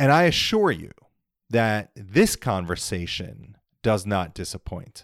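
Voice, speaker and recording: A normal speaking voice with an American accent moves at a fairly slow pace with lively intonation. The recording is very clean, with a silent background. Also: man, fairly low pitch for a man. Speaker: podcast host. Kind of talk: interview.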